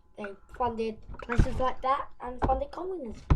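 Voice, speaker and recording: A woman with a British accent, high-pitched and lively in intonation, at a moderate pace with music in the background. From UK. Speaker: YouTuber. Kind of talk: casual informational video. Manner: halting, self-correcting.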